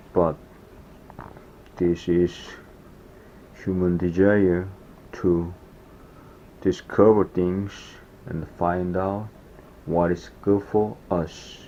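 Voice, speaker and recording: With a Korean accent, a man speaks at a very slow pace and a very deep, low pitch in a dark, mellow tone, his intonation monotone and flat and his speech broken by long, frequent pauses. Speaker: foraging vlogger. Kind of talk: casual vlog narration.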